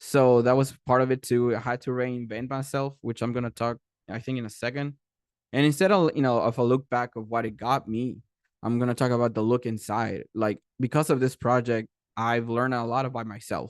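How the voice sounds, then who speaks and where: At a fairly quick pace, a man with a Spanish accent speaks against a quiet background in a dry, close sound with no echo. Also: medium pitch for a man. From Mexico, Tijuana. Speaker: animation creator and director. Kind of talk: panel presentation. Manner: fast when excited; halting, many fillers and restarts.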